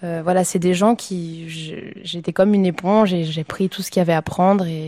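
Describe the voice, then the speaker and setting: Her voice is fairly low in pitch, with a dark, mellow tone and fairly even intonation. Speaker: opera singer. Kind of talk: casual chat. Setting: live before a public audience. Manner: halting.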